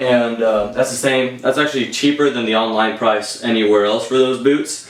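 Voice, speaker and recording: With an American accent, a man of medium pitch speaks at a moderate pace and with fairly even intonation over noticeable background noise. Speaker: airsoft YouTuber. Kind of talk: gear review monologue. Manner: halting, many fillers; casual.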